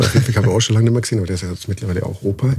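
Vocal fry runs through this man's voice. His tone is dark and mellow. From Bavaria, Landsberg am Lech. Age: 40s. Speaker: tattoo artist. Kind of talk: casual interview. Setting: at a trade event.

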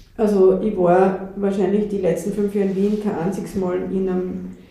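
Over noticeable background noise and audible room echo, a woman with a medium pitch speaks at a moderate pace with monotone, flat intonation. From Austria, western Styria. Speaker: landscape planner. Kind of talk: casual interview. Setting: coworking space.

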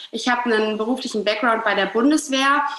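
A woman speaks with fairly even intonation at a fairly high pitch. The room echo is audible, and there is noticeable background noise. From northern Germany, Hamburg. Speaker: relationship coach. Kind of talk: podcast interview.

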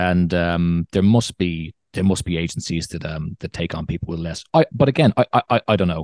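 In a Dublin accent, a man with a very deep, low voice speaks at a moderate pace, recorded dry and close with no echo against a quiet background. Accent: Irish (Dublin). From Ireland, Dublin. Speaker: content creator, former musician and actor. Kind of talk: casual chat. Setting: video call.

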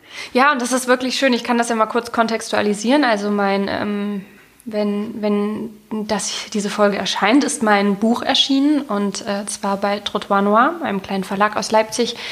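At a moderate pace, a woman with a fairly high pitch speaks in fairly even intonation amid noticeable background noise. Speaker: writer, literary critic and podcast host. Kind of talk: literary discussion podcast. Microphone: sound less clear due to broken cable.

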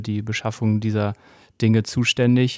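A man's medium-pitched, monotone voice with flat intonation at a moderate pace, on a very clean recording with a silent background. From Westphalia, Germany (Gütersloh). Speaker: startup founder. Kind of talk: interview. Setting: company office.

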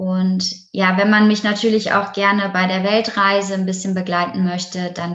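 In a normal speaking voice, a woman talks at a moderate pace with medium pitch. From Germany, Essen (Ruhr area). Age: 20s. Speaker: yoga teacher. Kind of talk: interview.

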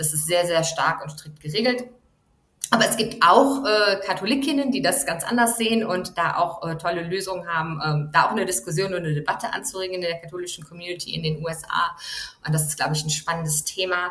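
A woman speaks at a fairly quick pace with lively intonation and a fairly low pitch. She has an ordinary speaking voice. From Germany. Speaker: journalist, foreign correspondent. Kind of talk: interview.

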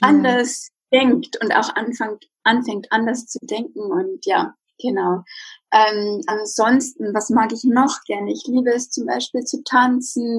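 A woman's fairly high pitch at a very slow pace, with ordinary pitch variation. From Bavaria, Germany. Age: 30s. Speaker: psychologist and life coach. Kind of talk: casual interview.

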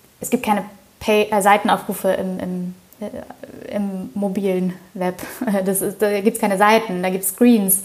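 The speech runs at a fairly slow pace with monotone, flat intonation and long, frequent pauses. Noticeable background noise sits behind it. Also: woman, medium pitch for a woman. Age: 20s. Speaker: startup co-founder. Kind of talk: interview.

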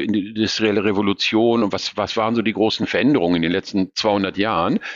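A man whose pitch sits fairly low talks at moderate speed in an unremarkable speaking voice. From Ruhr area, Germany (Essen). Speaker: retiring company CEO. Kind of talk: interview.

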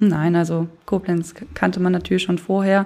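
At a moderate pace, a woman uses an ordinary speaking voice with fairly even intonation. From Germany, Moselle region (Lower Moselle). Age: 20s. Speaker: insurance call-center employee and local wine queen. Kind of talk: interview.

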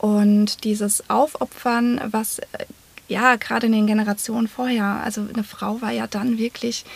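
At a moderate pace, a woman speaks at a fairly high pitch in a monotone, flat intonation, her voice somewhat breathy. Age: 30s. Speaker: psychotherapy practitioner and coach. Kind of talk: interview.

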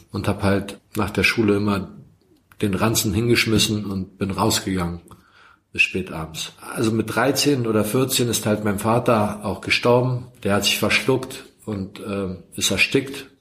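A Croatian accent at a fairly slow pace. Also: man, fairly low pitch for a man, fairly even intonation. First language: Croatian (speaking German). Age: 40s. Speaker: recovering addict. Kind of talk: testimony. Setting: self-help group room. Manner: soft-spoken.

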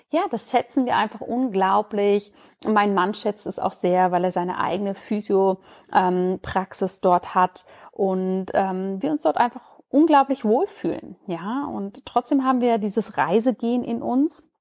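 Her medium-pitched voice rises and falls in lively intonation as the woman speaks at a fairly slow pace, the recording very clean with a silent background and a dry, close sound with no echo. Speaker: podcast host, doctor and Ayurveda expert. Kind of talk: casual solo podcast monologue.

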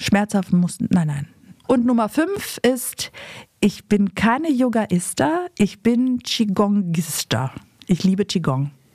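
At a very slow pace, a somewhat breathy voice makes very wide pitch swings, with a dry, close sound and no echo. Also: woman, medium pitch for a woman. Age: 50s. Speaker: podcast host and author. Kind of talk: casual chat.

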